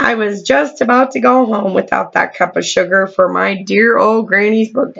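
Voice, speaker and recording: Putting on a character voice, a woman speaks at a medium pitch and moderate pace, raspy and with hardly any pauses. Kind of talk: bedtime story. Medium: read story.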